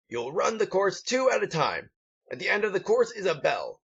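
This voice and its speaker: A man's put-on character voice, gruff and pompous in tone, high-pitched, at a fairly quick pace. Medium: read story. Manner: barking, pompous.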